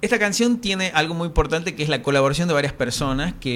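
A man with a strong Tucumán accent speaks at a very fast pace. His pitch varies in an ordinary way, and there is noticeable background noise. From Tucumán, Argentina. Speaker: singer-songwriter. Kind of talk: interview. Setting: radio studio. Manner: halting, repeats words.

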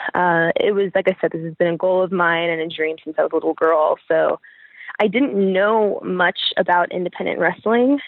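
A woman with an American accent speaks at a moderate pace in a normal speaking voice, her medium pitch carried by lively intonation. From Pennsylvania, US. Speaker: professional wrestler. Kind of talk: interview.

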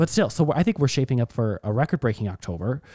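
A man talks in a dark, mellow tone with ordinary pitch variation. The recording is very clean, with a silent background and a dry, close sound with no echo. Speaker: real estate podcast co-host. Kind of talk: casual chat.

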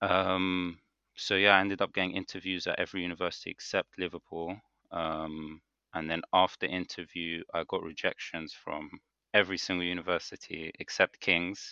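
Against a quiet background, a man with a British accent speaks in a flat monotone, his very deep, low pitch carrying a bright, sharp tone in a dry, close sound with no echo. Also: moderate pace. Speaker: podcast co-host, dental student. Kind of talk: casual chat.

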